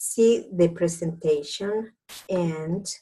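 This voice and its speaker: A woman with a Spanish accent, fairly low in pitch, at a very slow pace and with ordinary pitch variation. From Dominican Republic. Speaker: doctor turned network marketing entrepreneur. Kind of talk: business opportunity presentation. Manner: halting.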